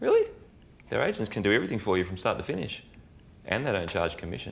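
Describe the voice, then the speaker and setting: At a very fast pace, a man talks with an Australian accent. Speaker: actor. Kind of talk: casual conversational ad dialogue. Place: kitchen.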